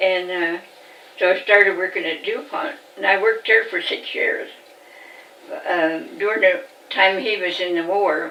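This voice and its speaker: A woman talks at a moderate pace and medium pitch, with ordinary pitch variation and long, frequent pauses. Noticeable background noise and audible room echo surround her voice. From Virginia, Augusta County (US South). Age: 90s. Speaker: elderly interviewee recalling her life. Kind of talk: oral history interview. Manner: halting.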